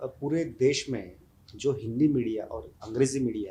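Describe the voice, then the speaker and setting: A man with a Marathi accent, medium in pitch, somewhat breathy, with a dark, mellow tone. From India, Maharashtra (Pune). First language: Marathi (speaking Hindi). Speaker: writer and social activist. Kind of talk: interview. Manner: hesitant, many fillers.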